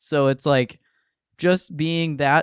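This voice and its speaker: In a very clean recording with a silent background, a man with an unremarkable speaking voice talks at a fairly slow pace with ordinary pitch variation. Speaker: podcast host and stand-up comedian. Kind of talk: casual chat.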